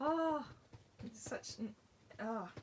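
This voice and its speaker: With an Australian accent, a woman is talking. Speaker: card-making instructor. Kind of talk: live tutorial. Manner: loud; animated.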